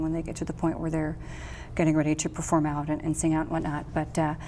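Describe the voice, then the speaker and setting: A woman speaks with an American accent. Her very deep, low pitch carries a dark, mellow tone. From Wisconsin, Milwaukee. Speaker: jazz singer and vocal coach. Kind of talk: interview conversation.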